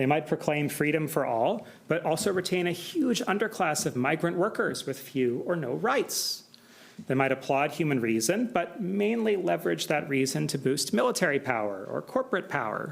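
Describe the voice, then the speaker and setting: A man with an American accent and a fairly high pitch speaks with vocal fry at a moderate pace. His pitch swings very widely while his loudness stays very even. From United States. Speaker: political science professor. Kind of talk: academic lecture. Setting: symposium with audience.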